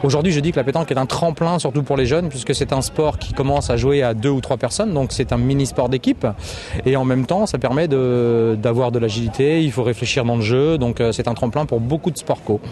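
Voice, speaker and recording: Through noticeable background noise, a man talks at a fairly quick pace in a medium pitch, with ordinary pitch variation and very even loudness. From Paris region, France. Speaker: petanque player. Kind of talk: interview. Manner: hesitant, many fillers.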